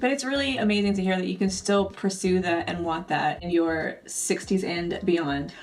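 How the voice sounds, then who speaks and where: A woman's medium-pitched voice at a moderate pace, hardly any pauses, with audible room echo. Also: ordinary pitch variation. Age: 30s. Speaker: podcast host. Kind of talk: casual podcast chat.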